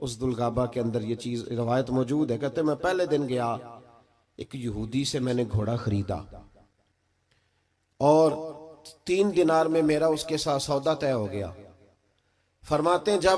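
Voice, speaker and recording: A man speaks at a medium pitch in an ordinary speaking voice. His intonation is lively. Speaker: Islamic preacher giving a religious sermon. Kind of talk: religious sermon (bayan) delivered to a live gathering. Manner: emotional, preaching.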